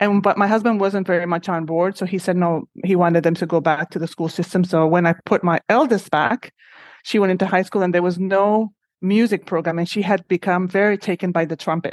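A woman's medium-pitched voice with a Spanish accent, fairly quick and fairly even in intonation, dry and close with no echo over a quiet background. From Honduras. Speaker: shelter executive director. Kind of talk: interview.

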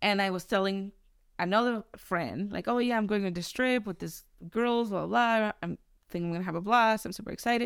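A woman with a Mexican accent at medium pitch, ordinary pitch variation and a fairly quick pace, in a very clean recording with a silent background. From Mexico. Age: 30s. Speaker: podcast guest. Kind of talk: casual chat.

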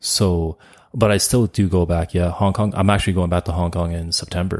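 A man's very deep, low, dark and mellow voice with a Canadian accent at a moderate pace, on a very clean recording with a silent background and a dry, close sound with no echo. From Canada (Montreal, then Calgary). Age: 30s. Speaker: podcaster. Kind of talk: casual interview.

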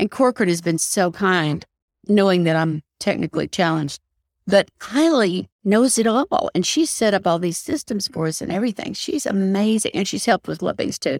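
A woman talks at a moderate pace and a medium pitch, with very wide pitch swings. The sound is dry and close, with no echo. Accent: Southern US. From US South, Knoxville, Tennessee. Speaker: real estate agent and podcast host. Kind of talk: interview.

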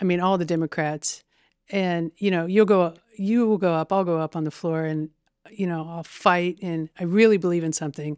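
Recorded very cleanly with a silent background and a dry, close sound with no echo, a woman with a Midwestern American accent speaks at a moderate pace in a fairly low pitch with fairly even intonation. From Indiana, Terre Haute. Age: 50s. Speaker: state legislator and math teacher. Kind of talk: casual interview.

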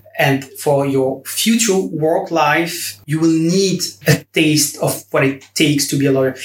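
With hardly any pauses, a man talks at a fairly slow pace in a somewhat breathy voice. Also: ordinary pitch variation. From Belgium. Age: 20s. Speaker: law graduate, summer intern. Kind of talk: interview.

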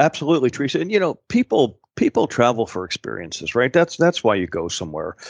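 Talking very fast at a medium pitch, a man shows vocal fry and very wide pitch swings in a dry, close sound with no echo. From Pittsburgh, Pennsylvania. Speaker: tourism executive. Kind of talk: interview.

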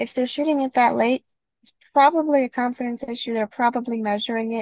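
A woman speaks in a plain, everyday voice with a fairly high pitch and fairly even intonation. The sound is dry and close, with no echo. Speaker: certified skeet shooting instructor and podcast co-host. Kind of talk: casual instructional podcast chat.

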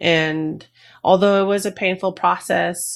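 An unremarkable speaking voice goes at a fairly slow pace with ordinary pitch variation. The recording is very clean, with a silent background. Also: woman. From New Jersey, US. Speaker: retired Army veteran and mental health advocate. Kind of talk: interview.

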